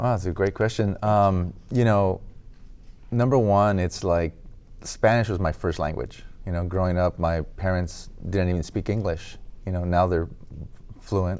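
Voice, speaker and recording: With an American accent, a man speaks in a very deep, low pitch. He talks at a fairly slow pace with fairly even intonation and long, frequent pauses. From Los Angeles, US. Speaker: graffiti artist. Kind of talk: interview.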